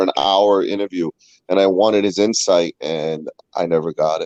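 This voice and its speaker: A fairly quick-paced man in a dry, close sound free of echo. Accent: Boston. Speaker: guest panelist, fellow show host. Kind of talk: casual chat.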